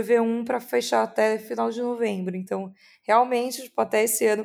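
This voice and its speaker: This woman has a fairly high pitch. She talks at a fairly quick pace. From São Paulo state, Brazil. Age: 20s. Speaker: content creator. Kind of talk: interview.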